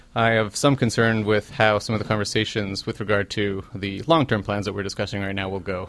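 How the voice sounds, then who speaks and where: A man talks in an ordinary speaking voice with a Canadian accent. His pitch is fairly low. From Canadian Prairies, Winnipeg. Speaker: council candidate. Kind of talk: interview. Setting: studio.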